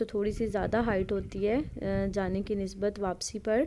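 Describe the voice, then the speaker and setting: With monotone, flat intonation, a woman holds to a medium pitch. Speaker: travel vlogger. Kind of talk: travel vlog narration. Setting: outdoors on a chairlift.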